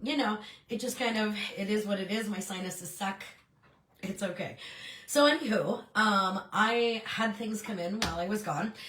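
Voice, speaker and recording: A woman talks with a fairly high pitch and ordinary pitch variation. Her pace is moderate, and noticeable background noise can be heard. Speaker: Scentsy consultant and YouTuber. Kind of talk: casual vlog chat. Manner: animated.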